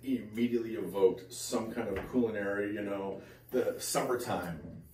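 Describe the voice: In a room with audible echo, a man talks at a fairly low pitch with a dark, mellow tone.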